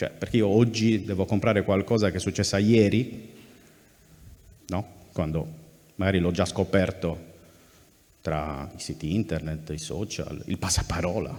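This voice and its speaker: With a Sardinian accent, a man speaks at a fairly slow pace in a very deep, low voice, using ordinary pitch variation and long, frequent pauses. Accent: Cagliari Sardinian Italian. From Sardinia, Cagliari. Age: 30s. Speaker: journalist, news site editor. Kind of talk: public talk at festival. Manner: hesitant, repeats words.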